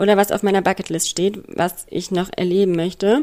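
A woman's normal speaking voice, at medium pitch and a moderate pace. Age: 30s. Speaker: escort. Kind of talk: recorded voice message.

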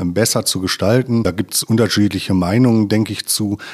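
This man talks at a moderate pace with a fairly low pitch and fairly even intonation. The recording is very clean, with a silent background. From Ruhr area, Germany (Westphalia/Sauerland border). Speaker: environmental engineer at a utility company. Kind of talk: casual interview. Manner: hesitant, many filler sounds.

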